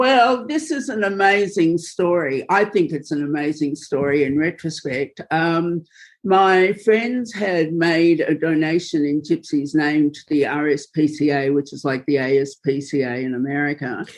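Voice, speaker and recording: A woman with a very deep, low pitch speaks at a fairly slow pace. Her intonation is lively, and the background is quiet. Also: hardly any pauses. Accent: Australian. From Australia. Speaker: filmmaker and journalist. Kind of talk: interview.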